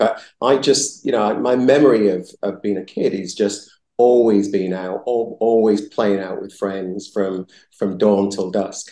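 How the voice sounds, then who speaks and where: This man has a dark, mellow tone and speaks with a Yorkshire accent. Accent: Yorkshire accent, kept. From northern England, Bradford, West Yorkshire. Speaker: entrepreneur. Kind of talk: interview. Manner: halting, many repeated words.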